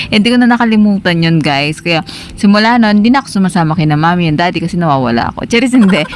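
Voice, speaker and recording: Amid noticeable background noise, a woman with a fairly low pitch talks in an animated tone at a very fast pace with lively intonation. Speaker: travel vlogger. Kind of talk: casual vlog talk.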